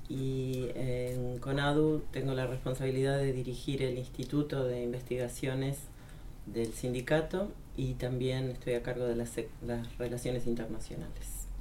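Audible room echo surrounds a woman with a very deep, low pitch. She talks at a fairly quick pace in a flat monotone. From Argentina. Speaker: trade union research director. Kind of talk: panel discussion. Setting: studio.

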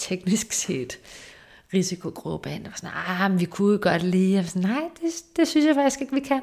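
A woman speaks in a normal speaking voice with a medium pitch and lively intonation. The recording is very clean, with a silent background. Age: 30s. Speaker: research assistant and lecturer. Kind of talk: casual interview.

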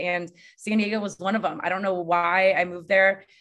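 A woman's normal speaking voice at medium pitch with fairly even intonation. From Connecticut, US. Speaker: hospitality entrepreneur. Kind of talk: interview.

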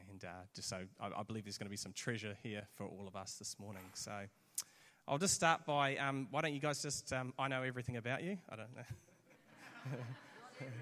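A medium-pitched man with a New Zealand accent, a bright, sharp tone, lively intonation, big swings in loudness and a moderate pace. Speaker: church pastor. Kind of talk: sermon interview. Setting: church with audience.

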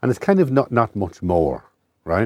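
A man with an Irish midlands accent makes very wide pitch swings in a dry, close recording with no echo. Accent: Irish, rural midlands. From rural Ireland. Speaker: writer and columnist. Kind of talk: interview conversation. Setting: in a camper van.

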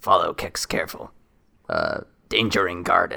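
A man uses a put-on character voice that sounds raspy, speaking at a moderate pace. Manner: broken third-person speech; terse, urgent.

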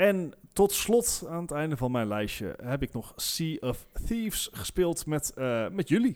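With hardly any pauses, a man speaks very slowly at a fairly high pitch, his voice making very wide pitch swings. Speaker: podcast co-host. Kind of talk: casual chat.

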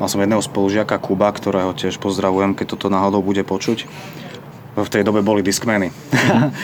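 Noticeable background noise sits under very fast speech with fairly even intonation and very even loudness. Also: man, fairly low pitch for a man. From eastern Slovakia, Bardejov. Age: 30s. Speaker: rapper and pizzeria owner. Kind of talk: casual interview.

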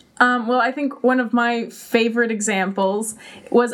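Noticeable background noise runs under the recording. A woman is speaking. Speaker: social media specialist. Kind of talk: casual chat. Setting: studio.

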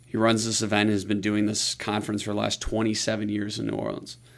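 This man speaks at a moderate pace with medium pitch. His voice has vocal fry. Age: 30s. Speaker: music label entrepreneur. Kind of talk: interview conversation.

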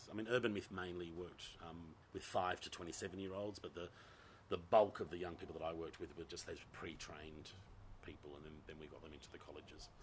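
The speaker has an Australian accent and talks at a fairly quick pace with fairly even intonation. The voice is somewhat breathy, and its loudness swings widely. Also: man, very deep, low pitch for a man. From Western Australia (Gosnells, Perth). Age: 50s. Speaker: theatre director. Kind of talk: casual chat.

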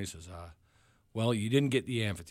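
A man with an American accent speaks at a very fast pace with ordinary pitch variation. The recording is very clean, with a silent background. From New York (Long Island). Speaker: rock band leader and musician. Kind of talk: casual radio interview. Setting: radio studio. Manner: hesitant, many fillers.

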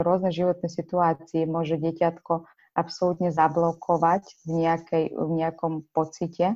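A woman's fairly low-pitched voice, dark and mellow in tone, with monotone, flat intonation. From Ukraine. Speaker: children's book author. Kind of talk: interview.

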